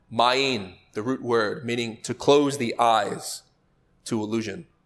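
This man has an ordinary speaking voice at medium pitch. He talks at a fairly slow pace. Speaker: lecturer on spiritual teachings. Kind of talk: lecture.

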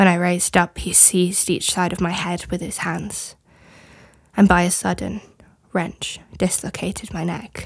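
Slow-paced and fairly low, a woman's voice carries vocal fry and monotone, flat intonation. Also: very clean recording, silent background. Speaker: guest reader. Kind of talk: dramatic reading of trial testimony.

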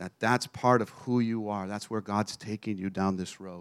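A man with an American accent and an unremarkable speaking voice, fairly low in pitch, at a moderate pace with fairly even intonation, on a very clean recording with a silent background. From Texas. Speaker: traveling preacher. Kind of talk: sermon. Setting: church.

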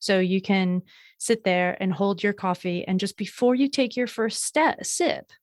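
A woman with a plain, everyday voice and ordinary pitch variation. The sound is dry and close with no echo, a very clean recording with a silent background. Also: medium pitch for a woman. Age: 30s. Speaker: burnout recovery coach. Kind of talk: interview.

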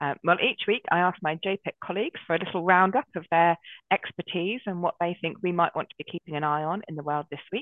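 The speaker talks at a very fast pace. The speech is in a southern English accent. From southern England, Brighton. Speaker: Methodist deacon and podcast host. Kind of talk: podcast interview.

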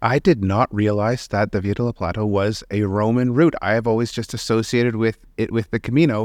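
The man has an unremarkable speaking voice at medium pitch, with fairly even intonation and a fairly quick pace with hardly any pauses. The sound is dry and close with no echo, over a quiet background. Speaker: podcast host and company founder. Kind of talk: casual interview.

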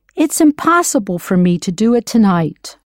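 Dry and close with no echo, a woman's dark, mellow voice sits fairly high in pitch and swings very widely. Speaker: language course coach. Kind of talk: instructional language lesson. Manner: formal, clear, measured.

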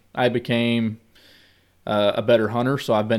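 Someone with a rural Missouri accent speaks on a very clean recording with a silent background. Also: man. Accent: rural Missouri American. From US Midwest, southwest Missouri. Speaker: hunter and business owner. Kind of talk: casual chat.

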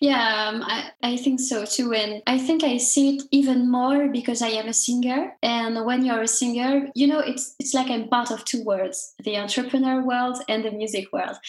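In a French accent, a woman speaks at a moderate pace with a high pitch and fairly even intonation. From France. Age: 20s. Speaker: singer and entrepreneur. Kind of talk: interview.

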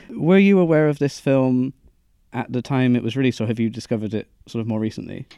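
A man with a Bristol accent at a very fast pace, medium pitch and a dark, mellow tone. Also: ordinary pitch variation. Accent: Bristolian, noticeable R's. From Bristol, West Country England. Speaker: podcast host. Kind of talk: casual chat. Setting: recorded in a cinema.

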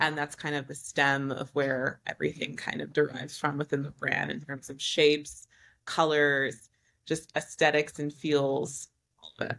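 A woman with an American accent speaks in a very deep, low voice at a moderate pace. Her delivery is monotone and flat, with big swings in loudness. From US Northeast, New York City. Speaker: fashion designer. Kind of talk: casual interview.

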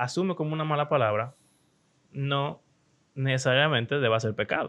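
Speaking with a Dominican accent, a man uses lively intonation at a fairly high pitch and a moderate pace. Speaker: podcast host. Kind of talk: casual chat.

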